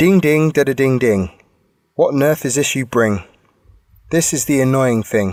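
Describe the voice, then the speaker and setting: With an English accent, a man speaks at a medium pitch and a moderate pace. He leaves long, frequent pauses. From England, Bristol. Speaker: podcast co-host. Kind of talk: reading aloud; casual chat.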